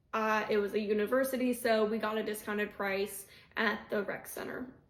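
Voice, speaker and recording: Speaking fairly quickly in a fairly high pitch, a woman holds a monotone, flat intonation over noticeable background noise. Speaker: video creator giving workplace benefits tips. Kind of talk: casual explainer video. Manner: breathless at times.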